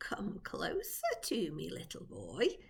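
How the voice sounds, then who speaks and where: A woman's creaky, put-on character voice at a fairly slow pace, over light background noise. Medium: read story. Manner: coaxing, secretive.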